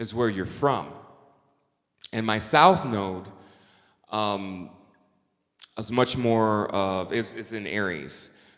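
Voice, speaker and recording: A man with a fairly low pitch, ordinary pitch variation, a very slow pace and long, frequent pauses, amid audible room echo. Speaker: astrologer and musician. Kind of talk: conference talk.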